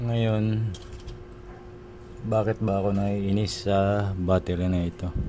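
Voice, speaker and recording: Over noticeable background noise, a soft-spoken man with a fairly low pitch speaks at a very slow pace with fairly even intonation and long, frequent pauses. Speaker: DIY video maker. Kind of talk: tutorial.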